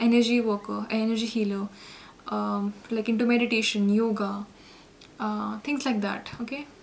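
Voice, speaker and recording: A woman speaks at a moderate pace while noticeable background noise sits behind her. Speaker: tarot reader. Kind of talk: tarot reading. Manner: halting, many fillers.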